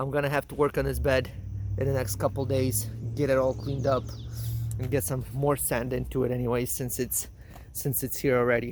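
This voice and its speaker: There is vocal fry in this man's medium-pitched voice. He talks at a fairly quick pace with long, frequent pauses. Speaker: home gardener vlogger. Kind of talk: garden tour vlog. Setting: outdoors in garden. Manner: halting, repeats words.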